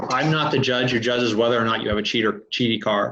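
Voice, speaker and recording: The voice belongs to a man. It sits at a medium pitch. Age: 50s. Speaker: racing safety inspector and fabricator. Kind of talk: podcast interview. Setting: remote call. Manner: gruff, barking. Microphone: dropped words from connection issues.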